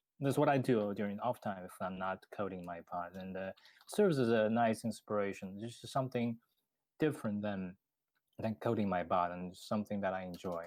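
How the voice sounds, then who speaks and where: This man speaks fairly quickly in a fairly low voice, with ordinary pitch variation. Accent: Chinese. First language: Chinese. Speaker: bot developer. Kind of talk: casual podcast interview. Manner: halting, many fillers.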